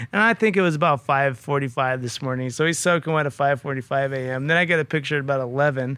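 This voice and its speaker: In an American accent, a bright, sharp voice races along at a very fast pace with hardly any pauses and ordinary pitch variation. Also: man, fairly high pitch for a man. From California Central Valley, Merced. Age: 40s. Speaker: construction business owner. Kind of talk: casual chat.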